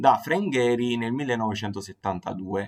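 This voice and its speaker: The man's medium-pitched voice is captured as a very clean recording with a silent background. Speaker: design podcast host. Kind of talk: solo podcast talk on design history. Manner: slow; hesitant, many fillers.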